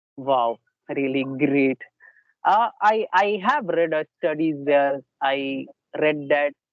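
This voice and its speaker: Lively intonation marks a man's fairly high-pitched voice. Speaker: interviewer, English learning channel host. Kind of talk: interview. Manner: hesitant.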